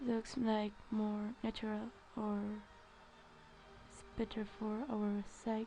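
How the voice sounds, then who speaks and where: A woman with a non-native accent speaks very slowly at fairly high pitch, in a monotone, flat intonation with long, frequent pauses. Noticeable background noise is present. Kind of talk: art tutorial narration. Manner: hesitant, many filler sounds.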